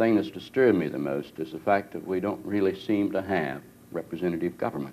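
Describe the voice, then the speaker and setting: There is light background noise. A man talks at a fairly quick pace with ordinary pitch variation. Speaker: politician hosting town hall. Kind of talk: interview answer. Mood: earnest, calm. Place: hall.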